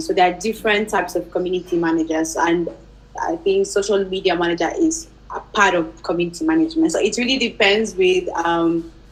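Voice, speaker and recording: A woman talks at a fairly quick pace with a medium pitch and very wide pitch swings. Background noise is noticeable. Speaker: community manager. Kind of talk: panel Q&A answer. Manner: fast.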